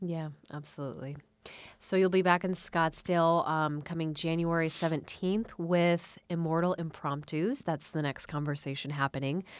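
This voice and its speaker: A woman with an unremarkable speaking voice, fairly low in pitch, at a moderate pace. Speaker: radio host. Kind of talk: radio interview. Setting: studio.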